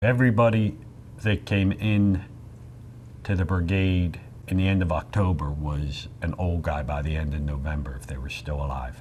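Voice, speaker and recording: A man with an American accent speaks at a moderate pace, his very deep, low voice moving with lively intonation. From Philadelphia, Pennsylvania. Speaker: Vietnam war veteran. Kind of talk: interview testimony.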